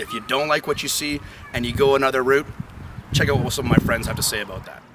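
Loud background noise fills the clip. A man talks at a very fast pace with a fairly high pitch. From Canada. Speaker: sportscaster hopeful. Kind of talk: sportscaster audition to camera. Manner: upbeat, entertaining. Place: open country. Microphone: camera far.

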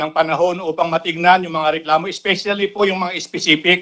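A man speaks fairly quickly in a high pitch, with monotone, flat intonation. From Philippines. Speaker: government labor secretary. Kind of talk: formal testimony at hearing. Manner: formal; halting. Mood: polite, measured, formal. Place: hall. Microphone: podium.

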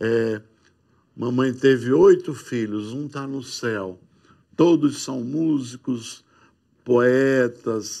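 Against a quiet background, a man speaks in a dark, mellow tone at a very slow pace with long, frequent pauses. His intonation stays fairly even while his loudness swings widely. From Seridó, Rio Grande do Norte, Brazil; Rio Grande do Norte, Brazil. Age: old. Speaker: musician; guest. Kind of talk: testimony. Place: studio. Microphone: lapel.

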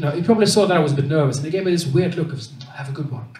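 A man's voice with audible room echo. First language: Swedish. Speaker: stand-up comedian. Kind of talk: stand-up. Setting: stage with audience. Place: stage.

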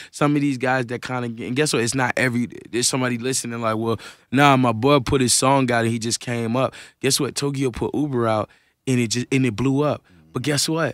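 A man talks at a fairly quick pace in a monotone, flat intonation. The sound is dry with no echo, and the background is quiet. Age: 20s. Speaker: rapper. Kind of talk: casual interview. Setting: radio studio. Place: studio. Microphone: studio mic.

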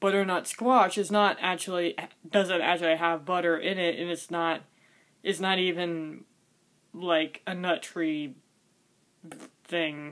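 Here a woman speaks with a fairly low pitch at a fairly slow pace. Her intonation is fairly even, with long, frequent pauses. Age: 20s. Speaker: cooking vlogger; vlogger. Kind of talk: casual vlog monologue. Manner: halting, repetitive. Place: home room. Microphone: webcam.

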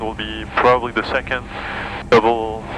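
A man with a French accent speaks at a moderate pace in a medium pitch. His intonation stays fairly even over noticeable background noise. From France. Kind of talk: casual chat during flight lesson. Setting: small airplane cockpit.

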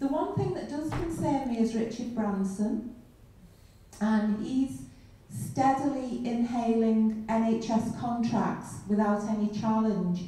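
With a strong room echo around her, a woman speaks at a very slow pace. Her pitch is fairly high and her intonation lively. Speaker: audience member. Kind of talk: audience question. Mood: concerned, earnest. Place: hall.

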